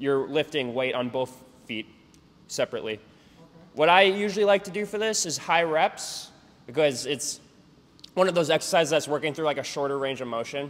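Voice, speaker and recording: Using a fairly high pitch, a man speaks at a fairly quick pace broken by long, frequent pauses. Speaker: jump training coach. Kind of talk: casual workout instruction. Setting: gym. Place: gym.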